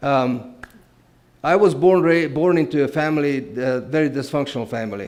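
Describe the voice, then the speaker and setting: A man speaks with a Romanian accent at a moderate pace. His pitch varies in an ordinary way. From Transylvania, Romania. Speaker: guest speaker. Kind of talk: testimony.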